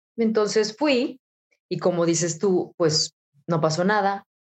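A woman talks at a medium pitch. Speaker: radio announcer. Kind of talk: interview.

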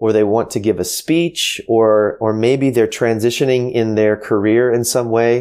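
Here a man with an American accent uses an unremarkable speaking voice, at a medium pitch and a moderate pace. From United States. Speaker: author and former pastor, marketing entrepreneur. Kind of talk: interview. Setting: home office, remote call.

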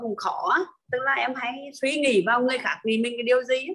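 A woman speaks fairly fast, her voice fairly high in pitch. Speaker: online class participant. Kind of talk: personal testimony. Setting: video call. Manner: halting.

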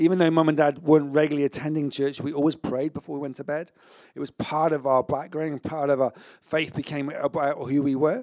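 A man talks at a fairly quick pace with a fairly high pitch. His intonation is monotone and flat, in a dry, close sound with no echo. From England, Severn Beach near Bristol. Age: 40s. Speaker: pastor. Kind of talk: sermon.

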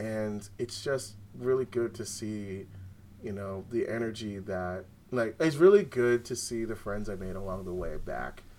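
A man with a normal speaking voice, fairly low-pitched, at a moderate pace. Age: 30s. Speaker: card game champion. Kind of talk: casual chat.

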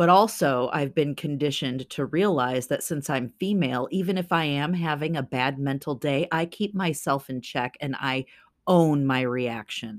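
A very clean recording with a silent background, ordinary pitch variation and a moderate pace. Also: woman, very deep, low pitch for a woman. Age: 40s. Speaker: podcast co-host. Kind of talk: casual chat.

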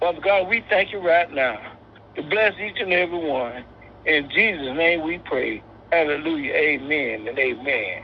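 At a moderate pace, a man with a fairly high pitch speaks with lively intonation in an unremarkable speaking voice. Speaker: prayer participant. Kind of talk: prayer. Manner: repetitive, fervent.

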